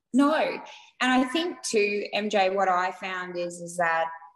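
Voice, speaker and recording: A woman with an Australian accent, fairly low in pitch, with ordinary pitch variation. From Australia, Queensland (Rockhampton). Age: 40s. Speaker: small business owner. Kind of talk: interview.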